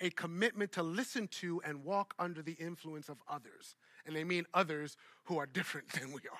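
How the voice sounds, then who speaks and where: A man with an American accent and a high pitch speaks in a bright, sharp tone at a moderate pace with ordinary pitch variation, the sound dry and close with no echo in a very clean recording over a silent background. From Brooklyn, New York. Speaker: pastor and speaker. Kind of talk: lecture.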